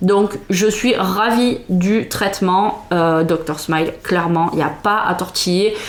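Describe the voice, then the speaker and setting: Very slow speech from a woman, ordinary pitch variation, noticeable background noise behind her. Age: 30s. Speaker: vlogger, mother of three. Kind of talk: product review vlog. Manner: hesitant, many fillers.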